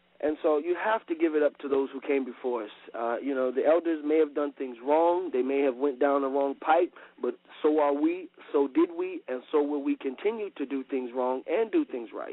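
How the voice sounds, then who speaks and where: The pace is moderate. Pitch variation is ordinary. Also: man, fairly high pitch for a man. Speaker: traditional king. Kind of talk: radio interview. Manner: hesitant, many fillers.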